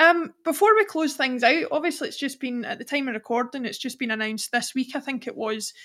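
A woman speaks with a Scottish accent. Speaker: podcast host. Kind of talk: casual interview.

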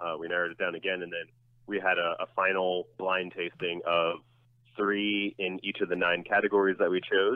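Man with a very deep, low voice and an American accent, monotone and flat, at a moderate pace. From New Jersey (Bloomfield). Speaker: food and drinks editor, author. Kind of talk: casual interview.

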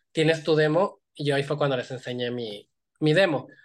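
A man's fairly high-pitched voice with ordinary pitch variation, set against a quiet background. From Mexico, Iguala, Guerrero. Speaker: visual effects animator. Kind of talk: interview.

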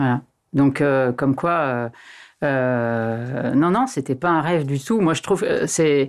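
Her very deep, low pitch carries ordinary pitch variation as the woman talks at a very slow pace on a very clean recording with a silent background. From Annecy, Haute-Savoie, France. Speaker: politician. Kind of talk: interview. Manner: hesitant, many fillers.

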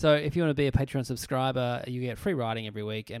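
On a very clean recording with a silent background, a man with an Australian accent speaks at medium pitch with ordinary pitch variation. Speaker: comedian and podcast host. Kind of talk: casual comedy panel chat. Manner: animated.

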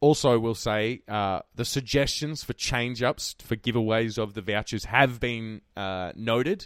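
In an Australian accent, a man talks at a fairly slow pace and a medium pitch. The recording is very clean, with a silent background and a dry, close sound with no echo. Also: ordinary pitch variation. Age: 20s. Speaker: podcast host. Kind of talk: casual chat.

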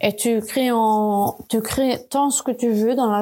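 At a very slow pace, a woman speaks with a dark, mellow tone and fairly high pitch. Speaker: podcast host, communication designer. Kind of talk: solo podcast monologue. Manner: hesitant, many fillers and repetitions.

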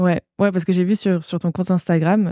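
Dry and close with no echo, a very clean recording with a silent background captures a woman's fairly low, dark, mellow voice with fairly even intonation. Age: 20s. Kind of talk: casual interview chat; scripted intro.

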